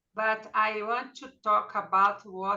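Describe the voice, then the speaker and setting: A woman speaks with a Portuguese accent at a medium pitch. Her tone is bright and sharp. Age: 60s. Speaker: study group member. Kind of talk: group discussion. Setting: video call. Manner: halting.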